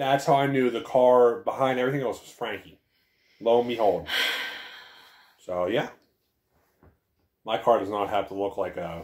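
A man talks at a moderate pace with ordinary pitch variation. His loudness swings widely, and he takes long, frequent pauses. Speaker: vlogger. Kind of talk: casual vlog chat. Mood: playful, joking. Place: home room. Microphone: webcam.

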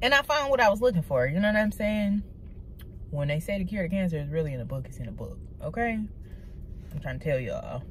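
A woman speaks at a very fast pace with very wide pitch swings, long, frequent pauses and a somewhat breathy sound. The recording is dry with no echo and has light background noise. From Detroit, Michigan (east side). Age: 20s. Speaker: YouTuber. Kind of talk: casual vlog monologue. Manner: animated. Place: car. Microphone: phone near.

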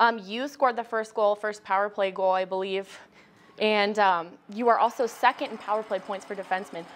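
At a fairly quick pace, a woman uses a normal speaking voice with a medium pitch and ordinary pitch variation. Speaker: sports team reporter and interviewer. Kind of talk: casual interview.

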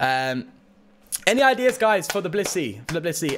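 With a British accent, a man speaks at a moderate pace in an upbeat, animated tone with very wide pitch swings, over light background noise. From Britain. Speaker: Pokemon card game streamer. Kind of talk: casual livestream chat while gaming. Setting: live stream, reading chat. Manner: chatty, upbeat, animated. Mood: excited, grateful. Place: home room.

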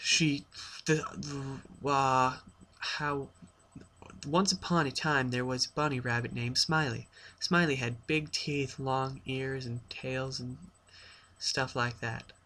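The speech moves at a very slow pace, with long, frequent pauses and fairly even intonation. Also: man. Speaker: storyteller. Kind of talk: reading a story aloud. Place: home room. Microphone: webcam.

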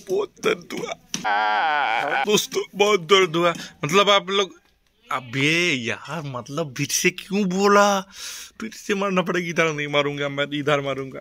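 A man with a high pitch, a bright, sharp tone, and lively intonation, at a very slow pace. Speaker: vlogger. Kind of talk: casual vlog chat. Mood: playful, mock pain.

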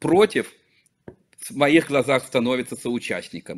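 The man speaks with lively intonation. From Belarus, Vitebsk; Belarus. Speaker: local politician and activist; guest. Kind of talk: interview. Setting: remote call. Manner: halting. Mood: earnest, serious. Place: office. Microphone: video call.

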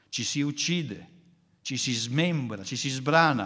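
There is audible room echo as a man talks in a medium pitch. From northern Italy, Milan. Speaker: philosopher. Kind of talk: lecture.

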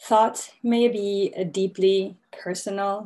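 This woman's tone is dark and mellow. Her intonation is fairly even. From Mexico. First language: Spanish. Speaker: novelist. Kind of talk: lecture. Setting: video call. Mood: calm, reflective. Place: home room. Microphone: video call.

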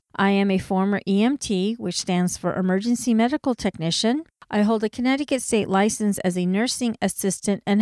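The voice has a Californian accent. The recording is very clean, dry and close, with a silent background and no echo. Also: woman. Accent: American (California). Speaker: herbalist podcast host. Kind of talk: solo educational podcast.

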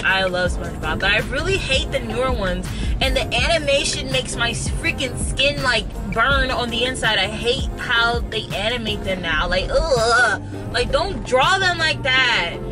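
Music plays in the background. A woman speaks at a moderate pace. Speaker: vlogger. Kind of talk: casual vlog chat. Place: car. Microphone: phone near.

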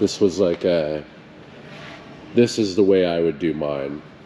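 Over noticeable background noise, a man talks at a very deep, low pitch. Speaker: car vlogger. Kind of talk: casual vlog chat. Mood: enthusiastic. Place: hall. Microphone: phone near.

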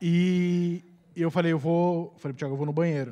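Against a quiet background, a man speaks. His pitch is high. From Curitiba, southern Brazil; Paraná, Brazil. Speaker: comedian; comedian telling story. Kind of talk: comic storytelling. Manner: energetic, animated. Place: stage. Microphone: handheld.

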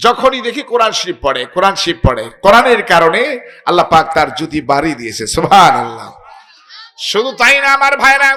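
A man's raised, projected voice, high in pitch with very wide pitch swings, over noticeable background noise. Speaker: Islamic preacher. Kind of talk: sermon. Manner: animated.

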